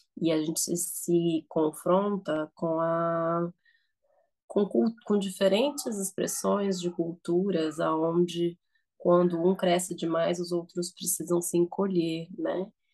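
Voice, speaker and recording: Against a quiet background, a dark, mellow voice speaks at a very slow pace with fairly even intonation. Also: woman, fairly low pitch for a woman. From Nicaragua, raised in Brazil. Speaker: therapist and social scientist. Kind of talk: reflective conversation. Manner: halting.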